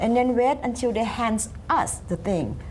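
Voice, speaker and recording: With noticeable background noise, a woman speaks in a high voice with a Thai accent at a fairly slow pace. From Thailand. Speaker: community activist. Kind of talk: panel discussion. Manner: animated.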